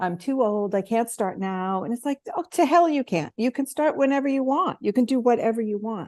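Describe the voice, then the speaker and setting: An unremarkable speaking voice rises and falls in lively fashion at a moderate rate while the surroundings stay quiet. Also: woman. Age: 60s. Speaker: tech and marketing coach for coaches. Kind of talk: interview.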